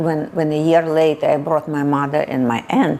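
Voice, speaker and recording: Speaking at a moderate pace, a woman talks with fairly even intonation in a very deep, low voice. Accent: Russian. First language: Russian. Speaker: immigrant interviewee. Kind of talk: casual interview. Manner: halting.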